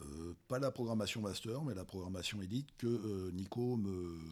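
A man with a very deep, low pitch and lively intonation. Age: 50s. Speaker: masters crossfit athlete. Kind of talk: casual chat. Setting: crossfit gym. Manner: halting.

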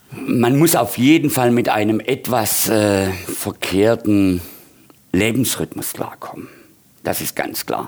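Noticeable background noise runs behind a man speaking very slowly. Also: medium pitch for a man, ordinary pitch variation. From Swabia, Heilbronn area, Germany. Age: 50s. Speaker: bar owner and bartender. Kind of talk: casual interview.

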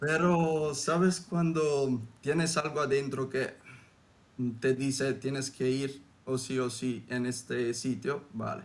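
Speaking at a very slow pace, a man with an Italian accent has a fairly high pitch and ordinary pitch variation. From southern Italy. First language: Italian (speaking Spanish). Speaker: former exchange student. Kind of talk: casual interview. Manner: hesitant, many fillers.

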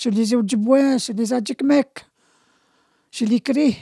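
Her voice high, dark and mellow, a woman speaks with fairly even intonation in a dry, close sound with no echo. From Quebec, Abitibi (Anishinabe community). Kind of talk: testimony. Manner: halting.

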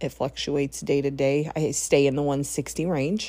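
A woman speaks with vocal fry. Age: 40s. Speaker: podcast host. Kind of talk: personal monologue. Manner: casual, with fillers.

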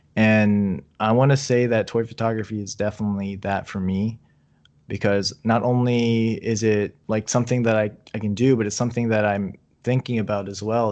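Over a quiet background, a man with an American accent talks at a fairly quick pace in a fairly low, monotone, flat voice. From Virginia, US. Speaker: toy photographer. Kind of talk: casual chat.

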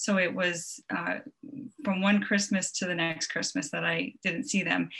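A woman in an American accent speaks at a medium pitch and a moderate pace, her bright, sharp tone carrying vocal fry and ordinary pitch variation. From Long Island, New York. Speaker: travel blogger. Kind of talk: casual interview chat. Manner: frequent filler ums.

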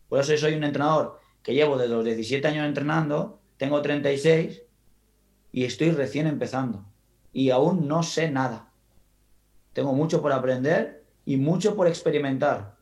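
Talking at a fairly slow pace with long, frequent pauses, a man with a fairly high voice shows ordinary pitch variation in a room with audible echo. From Spain, Valencian coast (Gandía). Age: 30s. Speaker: football coach. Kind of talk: interview conversation.

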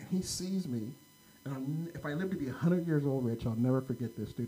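Fairly quick, somewhat breathy delivery in an American accent with ordinary pitch variation. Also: man. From California, Sacramento area. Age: 50s. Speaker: podcast co-host. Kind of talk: casual chat. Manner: animated.

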